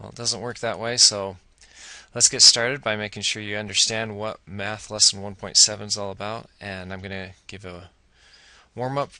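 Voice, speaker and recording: Against a quiet background, a man with a fairly low pitch and a bright, sharp tone talks at a moderate pace, his intonation fairly even but his loudness swinging a lot. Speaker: elementary school teacher. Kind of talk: tutorial.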